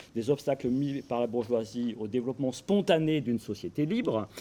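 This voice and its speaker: A man speaks at medium pitch in a dark, mellow tone. The recording is very clean, with a silent background. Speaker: academic panelist. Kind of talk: conference talk. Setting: conference round table. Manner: hesitant, many fillers.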